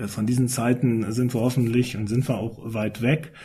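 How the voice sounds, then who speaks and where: A man speaks at medium pitch with a dark, mellow tone that is somewhat breathy. His intonation is fairly even and his pace moderate. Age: 50s. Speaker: newspaper editor-in-chief. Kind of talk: casual panel discussion.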